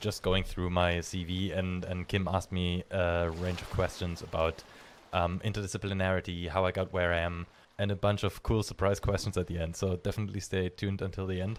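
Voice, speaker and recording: A man's very deep, low voice in a monotone, flat delivery, on a very clean recording with a silent background. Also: fairly quick pace. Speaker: podcast host, marine biodiversity researcher. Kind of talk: interview (being interviewed). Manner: hesitant, many fillers.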